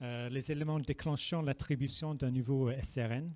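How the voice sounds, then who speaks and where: In a British accent, a man speaks at a medium pitch on a very clean recording with a silent background. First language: English (speaking French). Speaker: regulatory affairs expert presenting at industry event. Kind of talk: conference presentation. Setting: public presentation. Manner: halting, many filler sounds.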